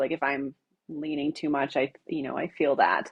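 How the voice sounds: A woman speaks with a Wisconsin accent. Her pace is moderate.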